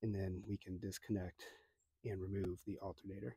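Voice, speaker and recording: With an American accent, this man has a dark, mellow tone that is somewhat breathy, heard on a very clean recording with a silent background and a dry, close sound with no echo. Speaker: DIY car repair youtuber. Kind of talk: tutorial. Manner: casual, talking to himself while working.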